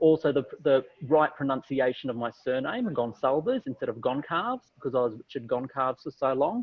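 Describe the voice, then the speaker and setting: A man with an Australian accent talks at a fairly quick pace, his intonation lively. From Australia, Wollongong, New South Wales. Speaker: TV news journalist and presenter. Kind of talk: panel discussion. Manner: hesitant, many fillers.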